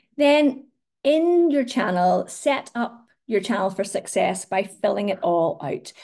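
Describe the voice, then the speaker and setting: A woman with a Northern Irish accent speaks at a high pitch in a dark, mellow tone, her voice making very wide pitch swings. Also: fairly slow pace. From Northern Ireland. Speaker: social media marketing trainer. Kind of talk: webinar presentation. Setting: online webinar.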